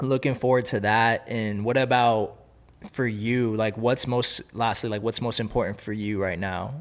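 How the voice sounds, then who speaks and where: Someone with a Californian accent talks at a moderate pace with fairly even intonation. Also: man, medium pitch for a man. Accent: Californian American English. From Los Angeles. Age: 20s. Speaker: podcast host. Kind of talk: casual interview. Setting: studio.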